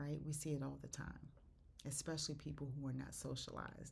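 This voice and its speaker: An animated, somewhat breathy voice with audible room echo. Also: woman. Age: 60s. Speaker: faith podcaster. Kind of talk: devotional talk.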